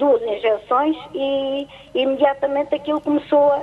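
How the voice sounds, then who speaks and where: Amid noticeable background noise, a woman speaks at a high pitch and a fairly slow pace. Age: 70s. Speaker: caller. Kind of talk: casual chat. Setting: phone call. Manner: halting.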